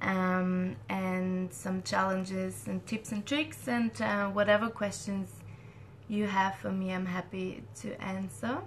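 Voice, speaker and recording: The voice is somewhat breathy with ordinary pitch variation. It moves at a very slow pace. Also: woman, medium pitch for a woman. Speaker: scientist hosting a Q&A. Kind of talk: live Q&A session. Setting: live online stream.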